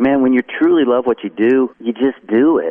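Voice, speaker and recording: With a Southern US accent, the speaker keeps a moderate pace and fairly even intonation. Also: man. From North Carolina. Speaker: country songwriter and musician. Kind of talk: casual interview.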